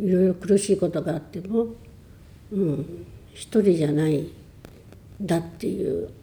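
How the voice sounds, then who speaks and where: Somewhat breathy and dark, mellow in tone, a woman at medium pitch speaks at a fairly slow pace with ordinary pitch variation and long, frequent pauses. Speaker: churchgoer sharing faith story. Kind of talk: testimony.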